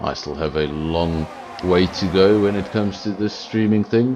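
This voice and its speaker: Fairly low-pitched male voice with ordinary pitch variation amid noticeable background noise. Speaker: sim racing commentator. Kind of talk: live commentary. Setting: home streaming setup. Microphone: sound issues, mic and headphones not split.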